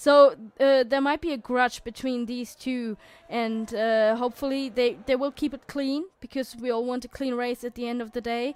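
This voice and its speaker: High-pitched woman with a non-native accent, fairly even intonation and a moderate pace. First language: not English. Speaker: sim racing league commentator. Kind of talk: live commentary. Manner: halting, many fillers and restarts.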